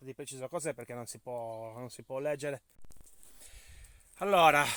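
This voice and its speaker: Heard in a very clean, dry, close recording with no echo and a silent background, a man with a medium-pitched, bright, sharp voice speaks at a moderate pace with ordinary pitch variation, big swings in loudness and long, frequent pauses. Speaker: amateur archaeology vlogger. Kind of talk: guided site tour. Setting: outdoors.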